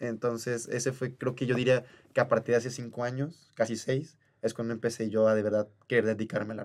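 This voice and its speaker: At a fairly quick pace, a man speaks in a medium pitch. His intonation is monotone and flat. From Oaxaca, Mexico. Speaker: musical theatre actor. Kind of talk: casual chat. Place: studio. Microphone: studio mic.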